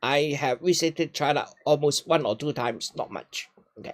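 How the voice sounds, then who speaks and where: Speaking with a Hong Kong accent at a fairly slow pace, a man comes through in a dry, close sound with no echo. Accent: Hong Kong Cantonese-accented English. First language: Cantonese. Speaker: retiree giving talks on China. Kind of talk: casual Q&A conversation. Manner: halting, with repetitions.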